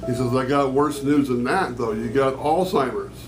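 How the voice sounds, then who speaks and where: A man talks at a medium pitch. Music plays in the background, and the room echo is audible. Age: 60s. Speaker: person with early onset Alzheimer's, poet. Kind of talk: interview testimony. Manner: halting, with repetitions.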